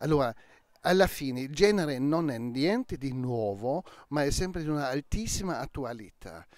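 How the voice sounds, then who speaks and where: At a moderate pace and with lively intonation, a man speaks in a dry sound with no echo against a quiet background. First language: German (speaking Italian). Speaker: crime novelist; interviewee. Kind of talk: interview; interview answer. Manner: halting. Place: garden. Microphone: handheld.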